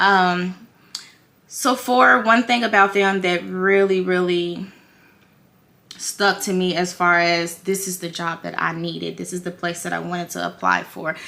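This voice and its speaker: A woman's bright, sharp voice with fairly even intonation. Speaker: beauty vlogger and makeup retail worker. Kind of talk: casual vlog talk while doing makeup. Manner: halting, stumbling while multitasking.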